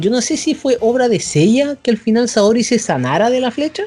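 A man with a Chilean accent and an extremely high pitch, at a moderate pace, with music in the background. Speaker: podcast host. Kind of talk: casual chat.

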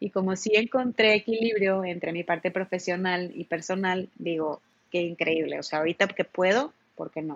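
At a moderate pace, a woman speaks in a plain, everyday voice, pitched at a medium level with ordinary pitch variation. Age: 20s. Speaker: traveler and creative. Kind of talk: casual interview chat.

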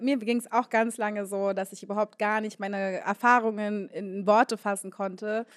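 At a moderate pace, a woman with a normal speaking voice talks at a fairly high pitch, the sound dry and close with no echo. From Berlin (Moabit). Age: 20s. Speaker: DJ. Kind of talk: live panel discussion. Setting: stage with audience.

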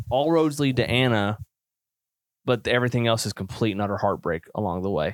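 Delivered at a fairly quick pace in an animated tone, the speech comes through a very clean recording with a silent background. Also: man, medium pitch for a man, ordinary pitch variation. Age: 30s. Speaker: film podcast host. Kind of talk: casual chat.

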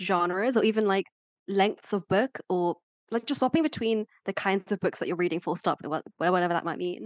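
A woman's medium-pitched voice at a fairly quick pace with ordinary pitch variation, dry and close with no echo over a quiet background. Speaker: podcast co-host. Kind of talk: casual chat. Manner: animated.

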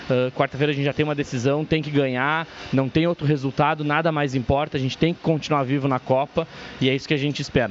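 This man's intonation is monotone and flat. He talks very fast. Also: fairly high pitch for a man. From northwestern Rio Grande do Sul, Brazil. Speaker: fan guest commentator. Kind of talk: casual commentary.

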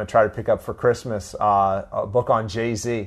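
An ordinary speaking voice, this man talks with an American accent at a medium pitch and moderate pace, his intonation fairly even. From Florida (Tallahassee). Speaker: sociology lecturer. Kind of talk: interview.

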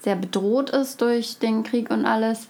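Here a woman talks at a fairly slow pace. Her pitch is fairly high, with ordinary variation. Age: 20s. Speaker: student and refugee aid volunteer. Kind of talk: interview. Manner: hesitant with fillers.

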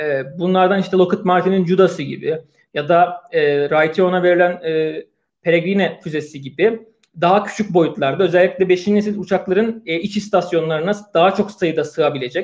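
This man speaks at a moderate pace in a high pitch, with fairly even intonation. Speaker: podcast host. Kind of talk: live online discussion.

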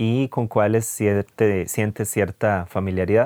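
With a Costa Rican accent, a man talks in a fairly low pitch and fairly even intonation, recorded very cleanly against a silent background with a dry, close sound and no echo. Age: 30s. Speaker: physiotherapist. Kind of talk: podcast monologue.

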